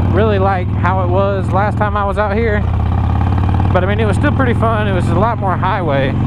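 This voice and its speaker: Loud background noise runs under speech at a moderate pace, with a dry sound and no echo. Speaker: motorcycle vlogger. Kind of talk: casual vlog chat. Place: motorbike. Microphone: lapel.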